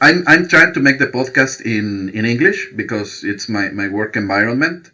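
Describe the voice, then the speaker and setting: Lively in intonation, a man speaks at a moderate pace with a bright, sharp tone. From Mexico. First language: Spanish. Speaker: podcaster. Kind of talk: interview. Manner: halting.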